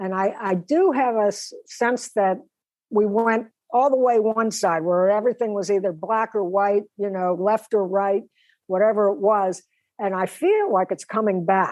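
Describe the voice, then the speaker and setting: In a normal speaking voice, a woman with an American accent talks at a moderate pace, her medium pitch showing ordinary variation. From Pittsburgh, Pennsylvania, US. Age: 60s. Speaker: drummer and singer-songwriter. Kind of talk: interview conversation.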